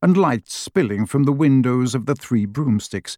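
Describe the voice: Someone reads aloud. The delivery is plain.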